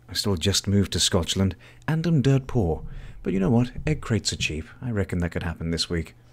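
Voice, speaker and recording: A fairly low-voiced man with a British accent talks at a fairly quick pace with very wide pitch swings, in a very clean recording with a silent background. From Britain. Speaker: live streamer. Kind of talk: casual chat. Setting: live stream.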